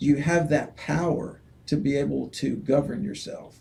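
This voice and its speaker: At a fairly high pitch, a man speaks at a fairly slow pace in a dark, mellow, somewhat breathy tone. His intonation is fairly even, and there is audible room echo. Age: 70s. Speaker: state house candidate. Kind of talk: interview. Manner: halting.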